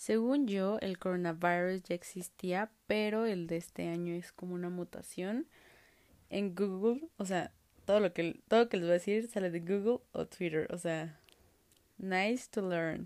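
At a fairly slow pace, a woman with a Mexican accent speaks in an animated tone. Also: medium pitch for a woman, ordinary pitch variation. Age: 20s. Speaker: podcast host. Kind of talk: casual monologue.

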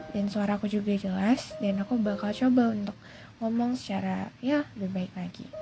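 Noticeable background noise sits behind a woman talking at a moderate pace and a medium pitch. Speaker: podcaster. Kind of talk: casual monologue. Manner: halting, many fillers; code-switching English and Indonesian.

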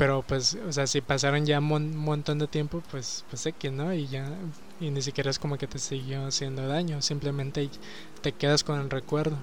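A man with a Mexican accent speaks at a fairly high pitch and a moderate pace. His intonation is monotone and flat, with noticeable background noise. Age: 20s. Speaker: podcaster. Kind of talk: casual monologue. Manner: halting.

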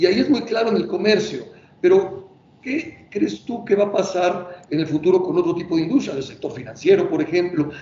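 With a Mexican accent, a man talks using lively intonation. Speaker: company president, interviewer. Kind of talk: interview. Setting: video call.

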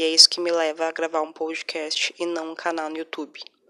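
Soft-spoken, a woman with a fairly low pitch talks at a moderate pace. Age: 20s. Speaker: podcaster. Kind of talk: personal monologue.

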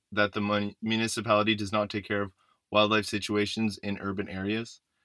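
The delivery is monotone and flat at a fairly quick pace. The recording is very clean, with a silent background. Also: man. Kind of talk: radio newsreading. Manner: polished, measured, formal anchor delivery.

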